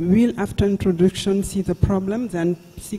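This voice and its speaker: In a Senegalese accent, a man speaks with ordinary pitch variation. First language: French. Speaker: neurologist professor. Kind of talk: conference talk. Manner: halting, with hesitations.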